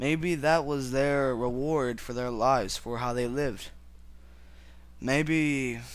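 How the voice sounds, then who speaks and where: A man at a medium pitch speaks with fairly even intonation amid audible room echo. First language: not English. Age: young. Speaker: religious video blogger. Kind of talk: personal religious monologue. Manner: halting.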